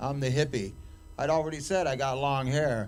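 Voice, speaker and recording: A man speaks in an animated tone at a moderate pace. Audible room echo surrounds his voice. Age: 60s. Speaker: cannabis activist. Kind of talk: casual chat. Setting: stage with audience. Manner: rambling, animated.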